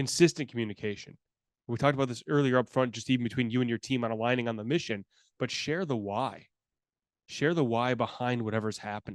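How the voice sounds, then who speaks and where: A man speaks at a very fast pace and medium pitch. The background is quiet. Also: ordinary pitch variation. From US Midwest, Chicago. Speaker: customer service consultant. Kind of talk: webinar presentation.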